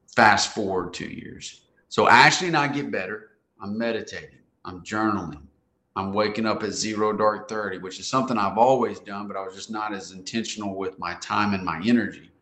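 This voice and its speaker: A bright, sharp-toned voice with an American accent moves at a fairly quick pace, its loudness swinging widely while the pitch varies in an ordinary way. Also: man, fairly low pitch for a man. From US South, Central Arkansas. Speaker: men's coach, insurance business owner. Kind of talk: testimony.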